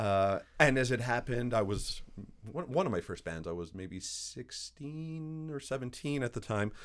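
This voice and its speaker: In a very clean recording with a silent background, a man uses a normal speaking voice at medium pitch, with lively intonation at a moderate pace. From Canada, Montreal, Quebec. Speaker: composer. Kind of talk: interview.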